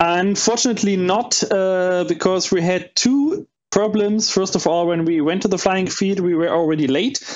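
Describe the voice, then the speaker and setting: Speaking with a slight German accent, a man keeps a moderate pace with hardly any pauses, a high pitch, ordinary pitch variation and very even loudness. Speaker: panel co-host, model plane hobbyist. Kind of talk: casual chat.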